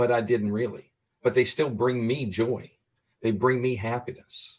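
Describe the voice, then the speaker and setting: His intonation is monotone and flat. The man keeps a moderate pace at a medium pitch. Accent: American. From New Orleans, US South. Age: 60s. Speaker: person living with Alzheimer's, advocate. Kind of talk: interview conversation.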